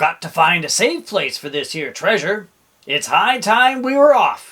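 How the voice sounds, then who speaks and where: A man's bellowing, put-on character voice at an extremely high pitch and a moderate pace. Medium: read story. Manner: bellowing, hearty pirate talk.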